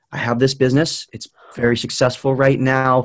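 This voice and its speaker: A plain, everyday voice talks at a moderate pace. The recording is very clean, with a silent background. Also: man. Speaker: social media marketing expert. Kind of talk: interview.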